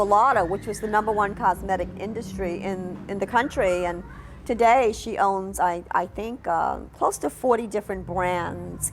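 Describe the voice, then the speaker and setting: Over music in the background, a woman talks with a New York accent. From New York City. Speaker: documentary narrator telling own life story. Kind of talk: personal life-story narration.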